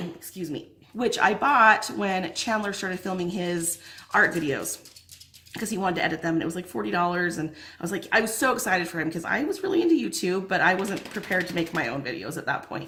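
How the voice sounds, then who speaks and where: A woman with a medium pitch talks at a very fast pace over noticeable background noise. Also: lively intonation. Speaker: lifestyle vlogger. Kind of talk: casual chat. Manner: animated.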